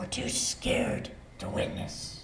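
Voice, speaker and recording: A man is whispering. Audible room echo and noticeable background noise surround him. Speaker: lay preacher. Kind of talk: sermon.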